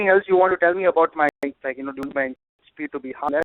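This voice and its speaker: This man's voice is fairly high in pitch, with fairly even intonation. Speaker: business analysis trainer. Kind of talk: online class Q&A. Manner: fast.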